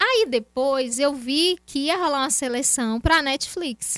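A woman with a high pitch and a bright, sharp tone speaks with lively intonation in a dry, close sound with no echo. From Brazil, Feira de Santana, Bahia. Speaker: actress. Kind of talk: casual interview.

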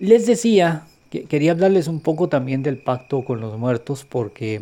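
A fairly high-pitched man's voice, dark and mellow in tone, with lively intonation and a fairly slow pace, captured in a very clean recording with a silent background. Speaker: self-described witch / occult podcaster. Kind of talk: tutorial. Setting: outdoors in a cemetery at night. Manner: soft-spoken, hushed.

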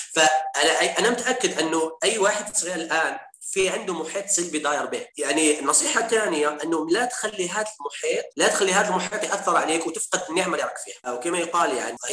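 A high-pitched man at a fairly quick pace, hardly any pauses, ordinary pitch variation and noticeable background noise. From Algeria, Algiers. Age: 30s. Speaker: accountant and entrepreneur. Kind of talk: interview. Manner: halting.

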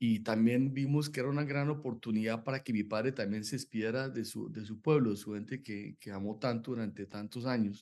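A man's medium-pitched voice, fairly quick in pace, with fairly even intonation. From Colombia, Bogotá. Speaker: novelist. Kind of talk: interview. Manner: halting.

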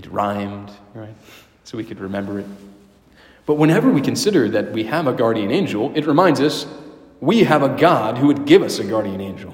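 A man with a warm tone and a medium pitch talks at a fairly quick pace, with lively intonation, big swings in loudness, long and frequent pauses, and noticeable background noise. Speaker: priest or prayer leader. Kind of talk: guided prayer, spoken aloud to God and then to the listeners. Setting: church, a Wednesday evening prayer gathering. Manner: reverent, warm and conversational, with hesitations and restarts.

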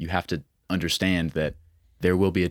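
A man with an American accent speaks at a very deep, low pitch. The recording is very clean and dry, close with no echo, over a silent background. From Montana. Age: 20s. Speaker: country musician and social media creator. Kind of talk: casual chat.

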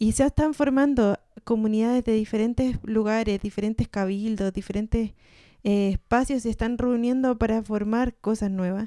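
Speaking with a Chilean accent, a woman of fairly high pitch uses a dark, mellow tone and fairly even intonation at a moderate pace, with a dry, close sound with no echo and a very clean recording against a silent background. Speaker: podcast co-host. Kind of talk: casual chat.

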